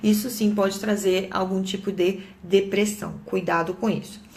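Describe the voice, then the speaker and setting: This woman's voice sits at a medium pitch and moves at a very slow pace. Audible room echo surrounds it. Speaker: psychologist. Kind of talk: live talk to viewers. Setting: Facebook live stream.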